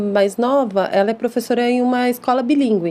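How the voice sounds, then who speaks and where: A woman's intonation stays fairly even while noticeable background noise carries on. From Brazil, São Paulo city (East Zone). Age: 30s. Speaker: English teacher and school founder. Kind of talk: podcast interview.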